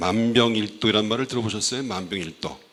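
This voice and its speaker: A man with a fairly low voice talks at a fairly quick pace, with audible room echo and noticeable background noise. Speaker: oriental medicine doctor giving health talk. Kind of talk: health lecture to church audience. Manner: halting, many fillers.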